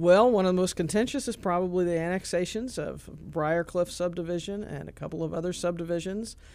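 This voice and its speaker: Speaking with an American accent, a woman has a dark, mellow tone at a fairly low pitch. She varies her pitch in an ordinary way and leaves hardly any pauses. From central Illinois. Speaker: newspaper editor. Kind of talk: radio interview.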